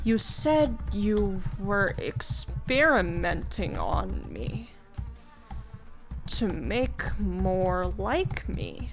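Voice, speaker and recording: A woman speaks at a very slow pace with music in the background and audible room echo. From Canada. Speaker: VTuber streamer. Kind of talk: reading aloud an AI text adventure with commentary. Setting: live stream. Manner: casual, stammering at times.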